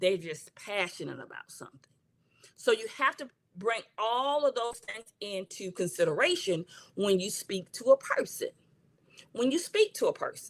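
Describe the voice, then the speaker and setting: With an American accent, a woman speaks at a moderate pace in a fairly high voice, her pitch swinging very widely and her loudness shifting a lot. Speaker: counselor and coach. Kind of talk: livestream talk. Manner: passionate.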